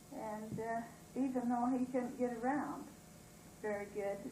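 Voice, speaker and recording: Speaking with an American accent, a woman uses a high pitch at a fairly slow pace. Audible room echo surrounds her voice. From southeastern Idaho. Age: 70s. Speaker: former town resident. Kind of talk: interview. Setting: at home.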